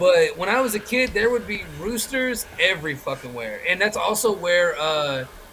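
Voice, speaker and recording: With a slight Southern US accent, a man talks at a moderate pace in a raised, projected, animated voice that sits high and swings very widely in pitch over noticeable background noise. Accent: slightly Southern. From Chicago. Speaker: wrestling podcast host. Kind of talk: casual chat.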